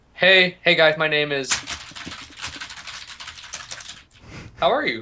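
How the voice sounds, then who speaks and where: A robotic, put-on character voice at a middle pitch moves at a fairly slow pace. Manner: synthetic computer-like.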